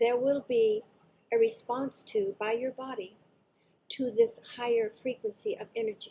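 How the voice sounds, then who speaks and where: A woman speaks at a fairly slow pace in a high pitch, her tone dark and mellow. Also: ordinary pitch variation. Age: 70s. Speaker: spiritual channeler. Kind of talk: casual greeting; channeled spiritual talk. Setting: live session with audience.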